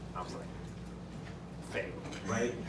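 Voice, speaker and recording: There's audible room echo and noticeable background noise as a man talks in an animated tone with a New York accent. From New York, Queens. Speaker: guest speaker, professor. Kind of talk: lecture. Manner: casual, animated.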